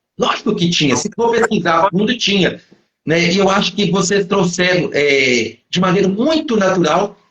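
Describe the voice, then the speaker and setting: Using lively intonation and very even loudness, a man talks at a moderate pace with a high pitch. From Belo Horizonte, Minas Gerais, Brazil. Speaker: interviewer. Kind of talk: live interview. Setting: online live stream. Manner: hesitant, many fillers.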